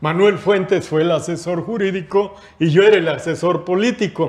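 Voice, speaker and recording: A man's high-pitched voice with ordinary pitch variation at a fairly slow pace. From Mexico. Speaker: retired worker and union leader; interview guest. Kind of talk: panel discussion; reading aloud. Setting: studio. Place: studio. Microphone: lapel.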